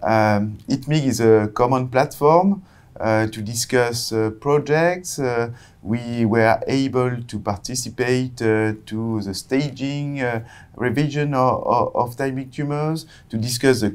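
The pace is fairly slow. Pitch varies in an ordinary way. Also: man. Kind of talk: interview answer. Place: studio. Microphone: lapel.

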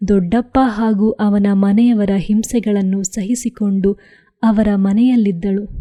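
Someone reads with fairly even intonation in an unforced reading voice.

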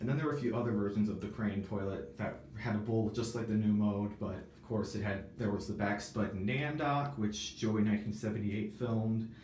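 A man's fairly low voice at a moderate pace, with ordinary pitch variation, light background noise and audible room echo. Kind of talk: casual vlog chat. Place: bathroom.

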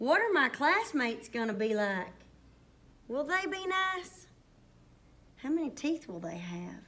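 A woman with a Southern US accent uses a warm, playful tone that is also bright and sharp, speaking at a high pitch and a fairly slow pace, with very wide pitch swings and long, frequent pauses. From US South. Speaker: primary school teacher. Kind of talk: children's story reading aloud, bedtime-story style. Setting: school STEM lab, video. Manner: animated; warm, playful, soothing at the close. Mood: warm, excited. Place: classroom. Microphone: phone near.

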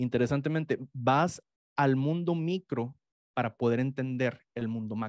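A man talks with a fairly high pitch and fairly even intonation. The sound is dry with no echo, and the background is quiet. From Mexico. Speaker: economics professor; guest. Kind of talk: interview. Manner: halting. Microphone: studio mic.

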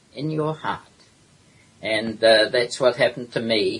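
Here is a man with a New Zealand accent. His pitch varies in an ordinary way. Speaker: historian and author. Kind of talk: interview.

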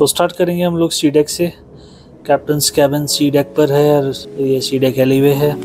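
Clear music plays in the background as the voice moves at a moderate pace with monotone, flat intonation. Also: man. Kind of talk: casual vlog tour. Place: office. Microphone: phone near.

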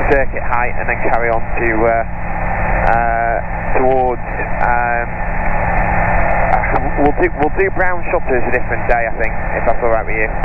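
A man with long, frequent pauses, dry sound with no echo, and loud background noise. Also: moderate pace. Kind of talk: cockpit commentary and radio talk. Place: plane. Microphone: headset.

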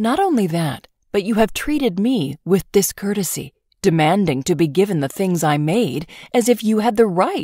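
A passage is read aloud in a natural voice, the intonation lively. All is quiet behind it.

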